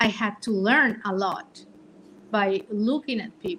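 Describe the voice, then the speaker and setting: With a non-native accent, a woman speaks very slowly at a fairly high pitch. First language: not English. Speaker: livestream panelist. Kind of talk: casual chat.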